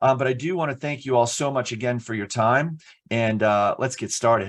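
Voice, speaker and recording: Against a quiet background, a man with an American accent talks at a medium pitch with ordinary pitch variation. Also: fairly quick pace. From New Jersey. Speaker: internet safety speaker. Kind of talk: webinar presentation. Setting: online webinar. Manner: fast; loud.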